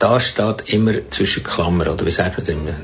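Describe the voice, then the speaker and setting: A man's ordinary pitch variation comes through noticeable background noise. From Bernese Jura, Switzerland (French-speaking). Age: 70s. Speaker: writer. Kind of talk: interview. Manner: halting.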